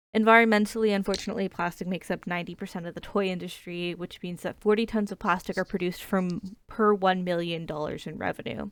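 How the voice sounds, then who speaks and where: At a fairly quick pace, a woman of medium pitch speaks with fairly even intonation on a very clean recording with a silent background. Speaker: student. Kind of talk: class presentation. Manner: fast; hesitant, many fillers.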